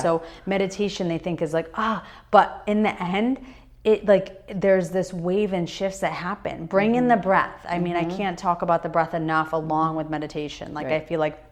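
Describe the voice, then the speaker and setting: This woman has an unremarkable speaking voice with a fairly low pitch. She talks at a fairly quick pace with ordinary pitch variation. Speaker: meditation and yoga teacher. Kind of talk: podcast interview answer about meditation.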